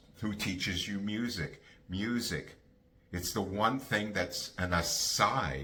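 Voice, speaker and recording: A man's fairly low voice with audible room echo. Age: 70s. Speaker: bassist and music educator. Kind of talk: casual monologue on music careers. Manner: emphatic; halting with fillers.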